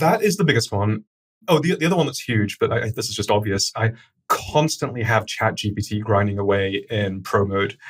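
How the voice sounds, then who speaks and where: The voice is somewhat breathy, moving at a fairly quick pace with lively intonation. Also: man, medium pitch for a man. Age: 40s. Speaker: startup founder and CEO. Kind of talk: podcast interview. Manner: fast.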